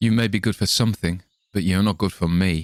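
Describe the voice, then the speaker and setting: Speaking in a plain, everyday voice, a man sounds fairly low in pitch with ordinary pitch variation. The very clean recording has a silent background and a dry, close sound with no echo. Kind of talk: poetry reading.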